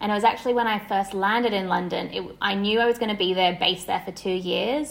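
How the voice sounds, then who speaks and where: Fairly even intonation from a woman with a medium pitch. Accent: Australian. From Australia, Sydney. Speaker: wellness entrepreneur and somatic therapist. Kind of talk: casual interview.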